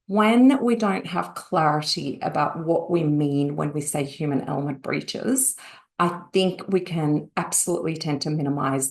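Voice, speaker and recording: Moderate pace from a woman speaking in an Australian accent. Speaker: industry analyst. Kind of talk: webinar presentation. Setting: online webinar.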